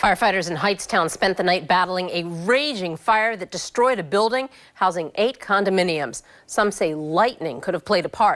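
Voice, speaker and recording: A woman's ordinary speaking voice, medium in pitch, with an American accent, lively intonation and a moderate pace. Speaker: news anchor and reporter. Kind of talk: TV morning news anchor delivery. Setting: broadcast studio.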